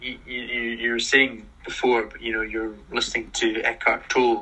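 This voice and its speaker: Noticeable background noise accompanies a man speaking at a moderate pace and medium pitch with a Scottish accent. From Scotland. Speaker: podcast host. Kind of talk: casual interview chat. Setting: live stream.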